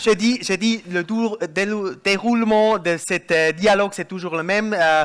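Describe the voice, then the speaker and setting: The speaker has a German accent and talks at a fairly slow pace. There are hardly any pauses. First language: German (speaking French). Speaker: panel speaker, energy expert. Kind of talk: panel discussion. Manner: halting, searching for words.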